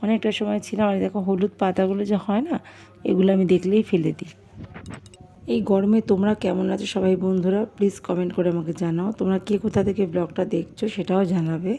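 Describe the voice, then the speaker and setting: Music plays behind a woman speaking with a West Bengal accent. Her pitch is medium and her intonation is fairly even. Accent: West Bengal Bengali. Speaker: vlogger. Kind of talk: cooking vlog voiceover. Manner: casual chatty.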